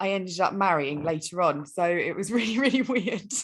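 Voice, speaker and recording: A woman with an English accent speaks with lively intonation. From England. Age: 20s. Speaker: relationship mentor and life coach. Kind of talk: podcast interview.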